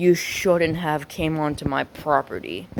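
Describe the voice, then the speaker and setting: A woman uses a put-on character voice, gruff and hoarse, with a very deep, low pitch. She speaks at a fairly slow pace. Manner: demonic, menacing.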